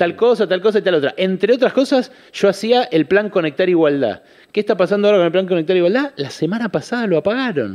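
Here a man talks at a very fast pace, with a high pitch and lively intonation. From Buenos Aires, Argentina (Caballito). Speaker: economist and journalist. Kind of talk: radio interview.

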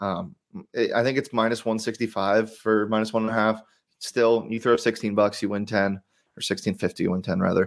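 A man has an ordinary speaking voice at medium pitch, with ordinary pitch variation and a fairly quick pace. The recording is very clean with a silent background. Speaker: sports betting podcast host. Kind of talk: casual sports betting chat.

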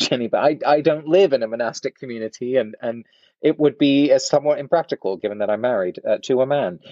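A man with an English accent talks at a very fast pace. His pitch is fairly high. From England. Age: 30s. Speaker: author and researcher. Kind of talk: interview.

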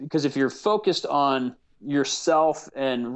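A man with an American accent and an unremarkable speaking voice talks at a fairly slow pace with ordinary pitch variation. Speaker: actor and producer. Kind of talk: casual interview chat.

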